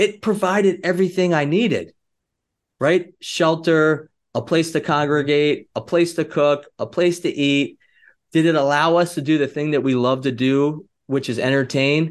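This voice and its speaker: A man speaks at a moderate pace in a fairly high pitch, with ordinary pitch variation. His tone is animated, and the background is quiet. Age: 40s. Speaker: entrepreneur. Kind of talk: casual chat. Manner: animated, high energy.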